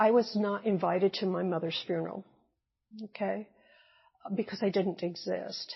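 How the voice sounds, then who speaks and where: Pausing long and often, a woman with a Midwestern American accent speaks at a moderate pace and medium pitch, her intonation fairly even. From US Midwest. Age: 70s. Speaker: retired nurse and teacher. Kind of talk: oral history interview answer.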